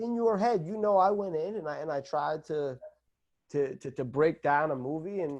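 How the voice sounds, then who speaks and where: The pace here is moderate, with ordinary pitch variation. It is an unremarkable speaking voice. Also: man. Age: 30s. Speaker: filmmaker and university educator. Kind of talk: casual interview chat.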